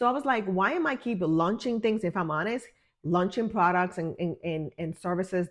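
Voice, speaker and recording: Against a quiet background, a woman with an unremarkable speaking voice talks at medium pitch and a moderate pace with ordinary pitch variation. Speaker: wellness and business coach. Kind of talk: guided healing talk to camera.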